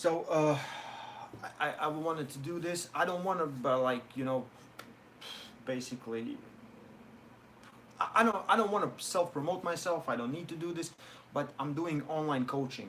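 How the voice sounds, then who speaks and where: Speaking with a non-native accent, a man uses a fairly high pitch and ordinary pitch variation, leaving long, frequent pauses. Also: moderate pace. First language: not English. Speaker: arm wrestler and online coach. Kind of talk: live stream Q&A. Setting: live stream. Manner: halting.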